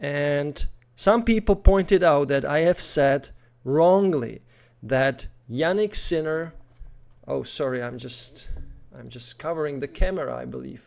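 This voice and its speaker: Mumbling at a fairly slow pace, a man with a fairly high voice shows ordinary pitch variation, big swings in loudness and long, frequent pauses on a very clean recording with a silent background. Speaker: tennis commentator youtuber. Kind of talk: casual video commentary.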